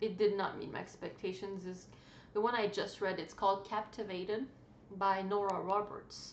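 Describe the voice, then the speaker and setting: A woman with a non-native accent talks at a moderate pace in a medium pitch, with audible room echo and noticeable background noise. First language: not English. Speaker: book vlogger. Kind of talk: casual chat. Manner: halting.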